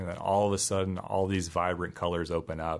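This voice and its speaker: Over a quiet background, a man with a very deep, low pitch talks at a moderate pace with fairly even intonation. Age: 30s. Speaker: conservation biologist and teacher. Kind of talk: casual interview.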